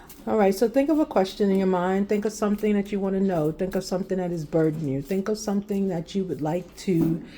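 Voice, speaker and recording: Soft-spoken and calm in tone, a woman uses a dark, mellow voice at medium pitch with lively intonation. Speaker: tarot card reader. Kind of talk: tarot reading. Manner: calm, mellow.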